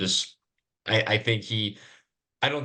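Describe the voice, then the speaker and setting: The recording has a quiet background. A man speaks at a medium pitch with a bright, sharp tone. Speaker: wrestling podcast co-host. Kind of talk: casual chat. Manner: halting, stuttering.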